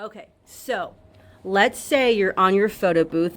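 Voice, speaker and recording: A woman with a plain, everyday voice speaks at medium pitch with ordinary pitch variation. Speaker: photo booth business owner and tutorial host. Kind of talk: tutorial.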